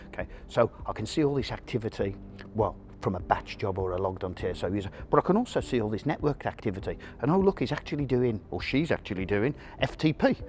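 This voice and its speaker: In a very clean recording with a silent background, a man speaks very fast in an animated tone with very wide pitch swings. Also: medium pitch for a man. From UK. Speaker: mainframe security expert. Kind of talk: interview.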